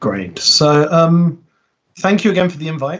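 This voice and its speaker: A man speaks at a moderate pace, somewhat breathy. His pitch variation is ordinary. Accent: British. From Britain. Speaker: software consultant and conference speaker. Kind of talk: technical talk. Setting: online meetup video call. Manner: halting, many fillers.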